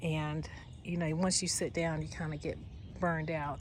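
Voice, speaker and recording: A woman with fairly low pitch and vocal fry talks at a moderate pace amid audible room echo. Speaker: gardening vlogger. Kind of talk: casual vlog narration. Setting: outdoors.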